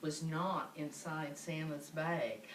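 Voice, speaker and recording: A woman's voice with noticeable background noise. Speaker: grandmother reading to great-grandchildren. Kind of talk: children's story read-aloud.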